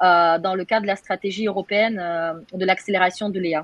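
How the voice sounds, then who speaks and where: A woman speaks with a Russian accent. Her pitch is medium. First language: Russian (speaking French). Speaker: AI researcher. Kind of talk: webinar panel discussion. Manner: halting, many hesitations.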